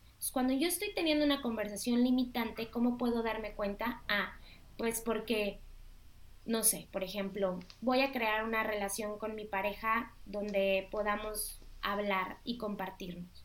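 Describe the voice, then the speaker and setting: A woman's fairly high voice at a fairly slow pace, with ordinary pitch variation and audible room echo. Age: 30s. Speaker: life coach. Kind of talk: interview.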